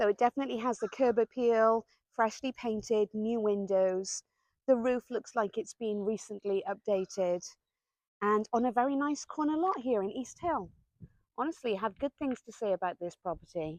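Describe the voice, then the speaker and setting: A woman speaks with a Welsh accent at a moderate pace. Her pitch varies in an ordinary way, and the sound is dry and close with no echo. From Wales. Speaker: real estate agent. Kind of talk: casual talk to camera.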